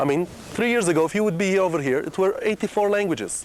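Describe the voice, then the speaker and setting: Over noticeable background noise, a man with a Middle Eastern accent speaks at a fairly quick pace in a high pitch. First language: Aramaic. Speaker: tour guide. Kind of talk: guided tour talk.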